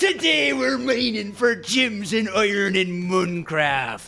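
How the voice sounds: A man puts on a gruff character voice, pitched high and fairly slow. Faint music plays in the background.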